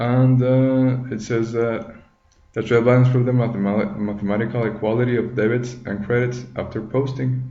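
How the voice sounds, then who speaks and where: At a moderate pace and medium pitch, a man with a non-native accent talks with fairly even intonation in a room with audible echo. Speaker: tutorial maker, accounting student. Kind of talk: tutorial. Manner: halting, many fillers.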